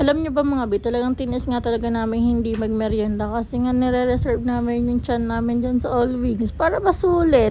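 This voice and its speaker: Over noticeable background noise, a woman talks at a fairly quick pace in a high pitch with hardly any pauses. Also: ordinary pitch variation. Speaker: food vlogger. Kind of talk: vlog voice-over. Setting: restaurant. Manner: fast; animated.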